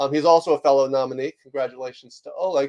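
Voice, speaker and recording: Recorded dry and close with no echo, a man speaks at a fairly quick pace. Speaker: leadership author and executive coach. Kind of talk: webinar presentation. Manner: fast; many filler words.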